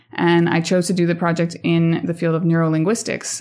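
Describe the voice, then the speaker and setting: With an American accent, this voice moves along at a fairly quick clip. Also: woman. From Colorado, US (Montreal-born, French-Canadian family). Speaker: postdoctoral researcher and science communicator. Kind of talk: interview.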